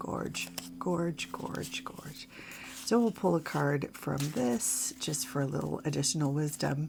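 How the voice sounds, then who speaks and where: A woman with a very deep, low voice speaks at a very slow pace, her pitch swinging very widely against noticeable background noise. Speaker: tarot reader. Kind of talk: tarot reading. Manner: hesitant, many fillers.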